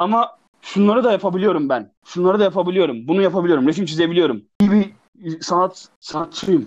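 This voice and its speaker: A man talks fairly quickly at a high pitch with ordinary pitch variation. His loudness stays very even. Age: 20s. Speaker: screenwriter and digital artist. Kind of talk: interview. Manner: halting.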